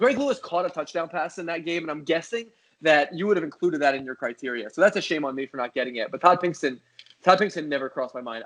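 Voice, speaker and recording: A man with an American accent, fairly high-pitched, lively in intonation and very fast in pace. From Philadelphia area, US. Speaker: sports TV producer. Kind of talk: casual chat. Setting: podcast interview. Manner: halting.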